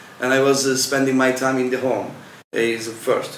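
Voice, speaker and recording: Medium-pitched male speech amid noticeable background noise and audible room echo. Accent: Turkish. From Turkey. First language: Turkish. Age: 20s. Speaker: volunteer. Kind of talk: interview. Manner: halting.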